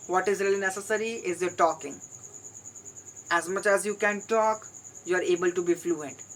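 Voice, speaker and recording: Delivered with an Indian accent at a moderate pace, the speech has long, frequent pauses. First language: Hindi. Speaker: English learner vlogger. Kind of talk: solo vlog monologue.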